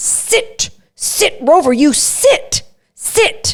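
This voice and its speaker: The voice is a put-on character voice. Its pitch is extremely high. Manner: harsh, staccato, clipped.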